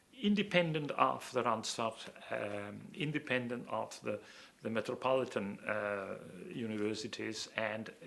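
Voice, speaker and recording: A man speaks with a German accent at a moderate pace. His voice has vocal fry and ordinary pitch variation. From Austria, Vienna (born in Hungary). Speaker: planning professor. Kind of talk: interview. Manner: halting, many fillers.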